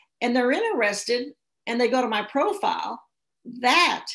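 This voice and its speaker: A woman speaks at a moderate pace with an American accent. Her voice is high-pitched and her intonation is lively. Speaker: social media speaker. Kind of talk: seminar presentation. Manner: animated.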